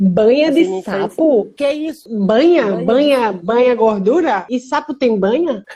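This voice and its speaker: Over noticeable background noise, a woman with a fairly high pitch talks at a moderate pace, her intonation lively and her loudness swinging widely. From Brazil, Recife (Pernambuco). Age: 20s. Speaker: cystic fibrosis patient podcaster. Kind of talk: casual chat.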